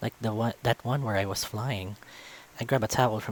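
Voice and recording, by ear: Reading aloud in a natural voice. The pitch variation is ordinary.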